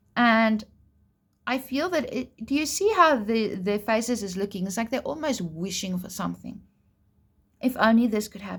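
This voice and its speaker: On a very clean recording with a silent background, a woman speaks at a fairly high pitch and a moderate pace. Her voice is somewhat breathy, with ordinary pitch variation. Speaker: tarot reader. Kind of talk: tarot reading. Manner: casual, chatty; stutter.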